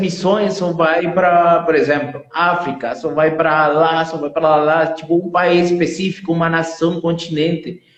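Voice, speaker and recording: A man with a Spanish accent, high in pitch, fairly slow, in a monotone, flat intonation. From Venezuela. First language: Spanish (speaking Portuguese). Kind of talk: testimony. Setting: live stream.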